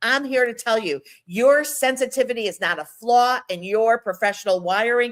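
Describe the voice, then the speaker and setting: Animated in tone, a woman speaks at a moderate pace with lively intonation. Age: 60s. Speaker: etiquette coach and workshop host. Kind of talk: live workshop talk. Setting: live audio room.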